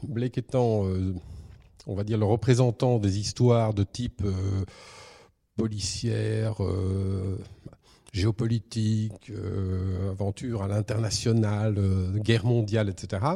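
Very slow and broken by long, frequent pauses, a man's somewhat breathy, dark, mellow voice at fairly low pitch keeps a monotone, flat intonation on a very clean recording with a silent background. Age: 50s. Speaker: comic book writer. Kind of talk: interview.

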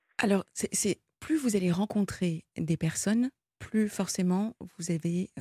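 A woman speaks at a fairly slow pace in a somewhat breathy voice with a dark, mellow tone and ordinary pitch variation. The sound is dry and close with no echo. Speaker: late-night call-in radio host. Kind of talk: call-in radio talk. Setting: radio studio.

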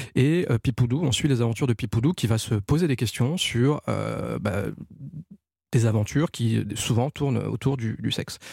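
Medium-pitched male voice with vocal fry and ordinary pitch variation, dry and close with no echo, on a very clean recording with a silent background. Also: moderate pace. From Ivory Coast and France. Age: 40s. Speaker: animation producer. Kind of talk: casual chat. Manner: halting.

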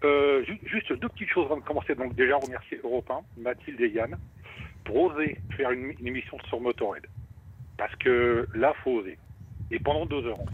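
Pauses come long and often, while the pitch varies in an ordinary way. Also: man, medium pitch for a man, moderate pace. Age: 60s. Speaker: radio listener, rock fan. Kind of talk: casual chat. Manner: halting.

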